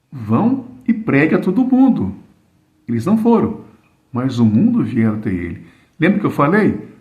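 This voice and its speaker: The room echo is audible. Delivery is at a fairly slow pace. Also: man. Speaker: preacher. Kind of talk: sermon. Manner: slow, deliberate.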